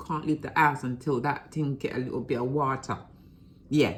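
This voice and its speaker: A woman speaks with a London accent. Her pitch is very deep and low. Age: 50s. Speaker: vlogger. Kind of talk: casual vlog.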